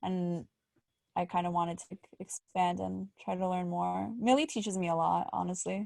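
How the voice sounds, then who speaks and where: A woman's medium-pitched voice in a New York accent at a moderate pace, on a very clean recording with a silent background. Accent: New York American. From New York, Great Neck. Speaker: podcast co-host. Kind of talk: casual chat.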